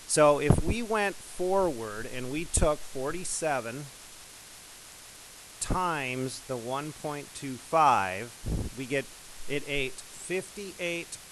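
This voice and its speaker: A man with a fairly high pitch speaks very slowly over noticeable background noise. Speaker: math teacher. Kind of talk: tutorial.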